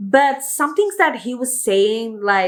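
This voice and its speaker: Speaking with a non-native accent, a woman uses an animated tone and lively intonation at a fairly slow pace in a very clean recording with a silent background. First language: not English. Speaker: video reviewer. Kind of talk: casual review monologue. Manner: halting.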